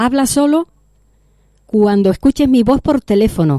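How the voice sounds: A woman speaks at a fairly slow pace with lively intonation and a fairly high pitch, her tone dark and mellow, in a dry, close sound with no echo.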